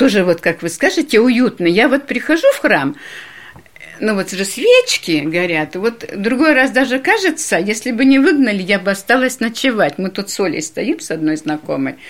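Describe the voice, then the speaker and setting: Very wide swings of pitch from a female speaker, noticeable noise running in the background. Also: fairly high pitch for a woman, moderate pace. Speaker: parishioner.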